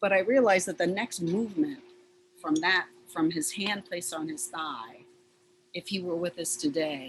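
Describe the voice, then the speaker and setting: At a moderate pace, a woman with a fairly low pitch speaks with very wide pitch swings and long, frequent pauses over noticeable background noise. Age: 60s. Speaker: sculptor. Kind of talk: panel discussion. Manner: halting.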